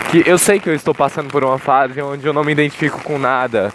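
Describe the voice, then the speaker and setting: Amid noticeable background noise, a man with a fairly high pitch talks at a fairly quick pace with ordinary pitch variation. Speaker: podcaster. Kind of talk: casual monologue. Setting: outdoors in rain. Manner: rambling.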